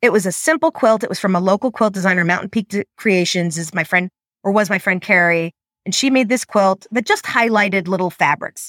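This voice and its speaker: A woman with an American accent speaks at a fairly quick pace in an unremarkable speaking voice, with medium pitch and ordinary pitch variation. The recording is very clean, with a silent background. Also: dry, close sound with no echo. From New York. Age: 40s. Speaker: quilter. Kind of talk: interview.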